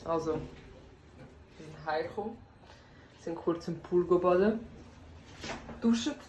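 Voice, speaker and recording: This woman's voice sits fairly low and carries vocal fry. She speaks at a fairly slow pace with long, frequent pauses, and the room echo is audible. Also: ordinary pitch variation, big swings in loudness. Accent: Swiss. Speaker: vlogger. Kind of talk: casual travel vlog. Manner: animated.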